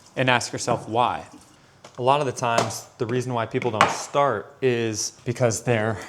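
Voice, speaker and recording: Noticeable background noise behind a man at a medium pitch and a moderate pace. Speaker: motivational vlogger. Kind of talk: motivational talk to camera. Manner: big-brother, direct address.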